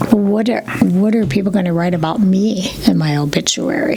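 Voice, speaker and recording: This woman has an American accent and ordinary pitch variation. Noticeable background noise runs beneath her voice. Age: 60s. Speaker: yoga instructor. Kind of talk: interview answer.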